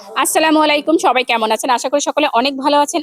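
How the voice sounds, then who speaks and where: This woman has a high-pitched voice. The sound is dry and close, with no echo. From Bangladesh, Lalmonirhat (Rangpur division). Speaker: content creator. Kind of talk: self-introduction to camera. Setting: school venue.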